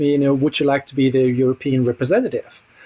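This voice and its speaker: A man with a fairly high pitch speaks with a German accent. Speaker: Tolkien scholar and society founder. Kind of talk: podcast interview.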